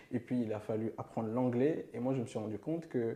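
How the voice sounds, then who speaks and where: At a moderate pace, the speaking carries a dark, mellow tone. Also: man. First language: not French (speaking French). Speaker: podcast host. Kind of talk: interview.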